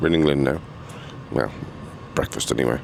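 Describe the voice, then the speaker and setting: Noticeable background noise behind a very deep, low male voice. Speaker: travel vlogger. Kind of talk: travel vlog narration. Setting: on a sleeper train. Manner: casual, hesitant; whispering.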